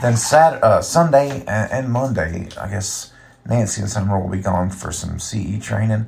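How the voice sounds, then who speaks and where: Somewhat breathy and relaxed in tone, a man speaks at a moderate pace with ordinary pitch variation. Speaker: podcast host and musician. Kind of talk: casual solo podcast monologue. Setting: recording in a bathtub, early morning. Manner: relaxed, many fillers.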